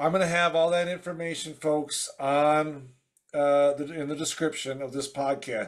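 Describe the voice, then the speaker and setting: A man's monotone, flat intonation at a moderate pace against a quiet background. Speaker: podcast host. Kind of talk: casual chat. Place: home room. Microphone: video call.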